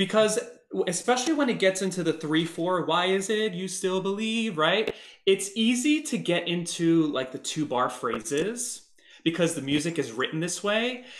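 Against a quiet background, a man with a high pitch talks at a moderate pace. His voice carries audible room echo. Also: lively intonation. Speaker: performer and guest vocal coach. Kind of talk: voice coaching session. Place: home room. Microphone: webcam.

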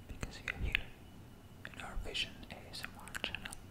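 Whispering, a man speaks at a fairly slow pace. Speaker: ASMR creator. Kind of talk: casual ASMR chat, soft speaking. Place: home room. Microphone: studio mic.

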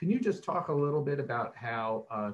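The pace here is fairly quick. The speaker is a man. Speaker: panel moderator. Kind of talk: panel discussion. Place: home room. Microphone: webcam.

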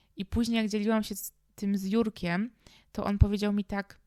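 A woman's flat, monotone delivery, dry and close with no echo, on a very clean recording over a silent background. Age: 20s. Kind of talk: personal monologue podcast.

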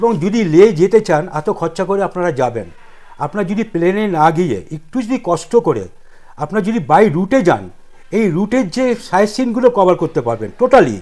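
This man speaks with a high pitch. His intonation is lively. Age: 60s. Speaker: tour operator. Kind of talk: interview. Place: office. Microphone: lapel.

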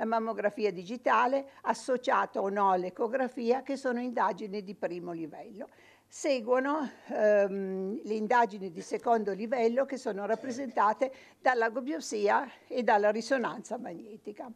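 At a moderate pace, the voice shows ordinary pitch variation and big swings in loudness. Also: woman, fairly high pitch for a woman. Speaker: radiologist. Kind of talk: medical lecture. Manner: impassioned; halting, many repetitions. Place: studio.

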